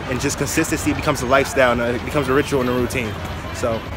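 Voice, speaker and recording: Over music in the background, the speech runs at a very fast pace, the sound dry with no echo. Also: man. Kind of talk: casual vlog chat. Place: street. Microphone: phone near.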